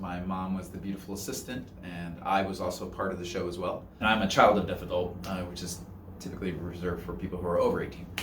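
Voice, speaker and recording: A man's very deep, low voice at a very fast pace, with music in the background and audible room echo. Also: hardly any pauses. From US, Northern Virginia. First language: American Sign Language. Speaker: sign language interpreter. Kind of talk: interview.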